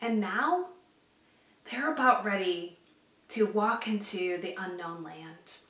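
Speaking at a slow pace, a woman with a medium pitch and a fairly bright tone shows ordinary pitch variation, with strong room echo around her.

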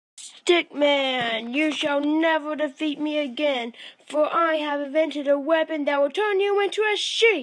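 In a cartoonish character voice, the speaker uses a high pitch at a moderate pace.

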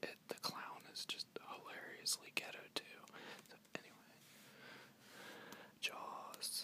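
A whispering voice moves at a fairly slow pace with long, frequent pauses. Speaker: collector showing DVDs. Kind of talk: ASMR soft-spoken talk with page turning. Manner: soft-spoken, whispered. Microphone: phone near.

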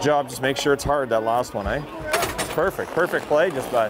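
Delivered at a fairly quick pace with ordinary pitch variation, the voice sounds dry with no echo against noticeable background noise. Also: man. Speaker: hockey assistant coach. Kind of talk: coaching instructions on ice. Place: stadium. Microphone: lapel.

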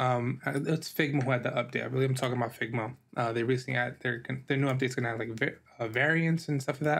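This man has an unremarkable speaking voice with an American accent. He talks at a moderate pace with ordinary pitch variation. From New York. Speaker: podcast host and designer; podcast host. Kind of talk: solo podcast monologue. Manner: casual with many filler words. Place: home room.

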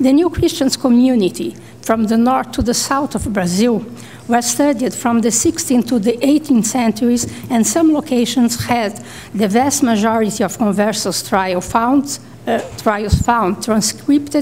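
Loudness stays very even at a fairly slow pace. Pitch variation is ordinary. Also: woman. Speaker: panelist. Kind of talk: conference paper reading. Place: hall. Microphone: podium.

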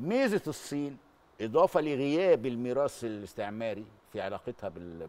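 At a medium pitch and moderate pace, a man's voice swings very widely in pitch. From Egypt. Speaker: journalist and political writer; guest. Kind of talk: TV news interview. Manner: halting, repeats words. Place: studio. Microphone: handheld.

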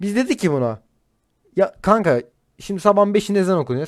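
A man's voice with lively intonation. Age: 30s. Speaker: streamer. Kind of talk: casual chat.

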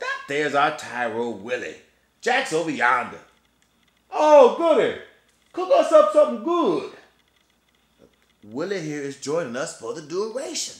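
Using a put-on character voice, a man drawls at a high pitch and a moderate pace, with long, frequent pauses and a slight echo. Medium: stage play. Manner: drawling backwoods dialect.

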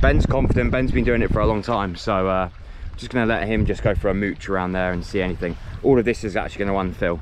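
A man's fairly low voice at a very fast pace, dry with no echo, over noticeable background noise. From Channel Islands. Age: 30s. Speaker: spearfishing vlogger; fishing vlogger. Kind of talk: casual vlog narration. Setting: outdoors. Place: beach. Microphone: phone near.

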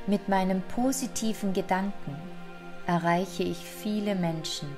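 A woman speaks at medium pitch and a fairly slow pace, with ordinary pitch variation. Music plays in the background. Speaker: affirmation and relaxation guide. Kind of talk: guided affirmations for self-confidence.

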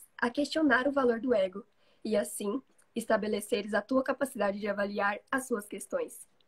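A woman with a fairly high pitch speaks at a moderate pace, somewhat breathy, with ordinary pitch variation. The sound is dry and close, with no echo. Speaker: reader of the book. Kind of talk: reading aloud. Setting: live stream video call.

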